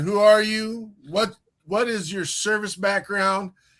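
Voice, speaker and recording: A man speaks loudly in an animated tone. The recording is very clean, with a silent background. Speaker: online radio show host. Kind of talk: casual interview chat.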